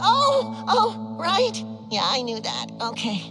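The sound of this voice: A woman puts on a character voice, high-pitched with a bright, sharp tone and very wide pitch swings. She speaks at a slow pace while faint music plays in the background.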